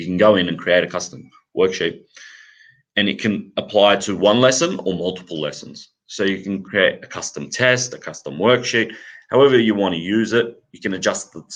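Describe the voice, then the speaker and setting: Against a quiet background, a speaker with an Australian accent goes at a moderate pace, showing ordinary pitch variation and big swings in loudness. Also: man, fairly low pitch for a man. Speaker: math curriculum company representative. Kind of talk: live Q&A session. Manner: halting.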